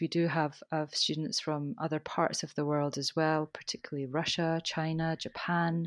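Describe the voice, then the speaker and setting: Speaking at a moderate pace in a Scottish accent, a woman with a very deep, low pitch sounds monotone and flat, with a dry, close sound with no echo and a quiet background. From Scotland. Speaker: teacher trainer. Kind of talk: casual interview chat.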